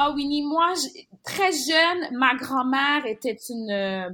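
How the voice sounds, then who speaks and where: Speaking at a very slow pace, a woman has a bright, sharp tone on a very clean recording with a silent background. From Montreal, Quebec (born in Haiti). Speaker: journalist. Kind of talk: interview. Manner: animated.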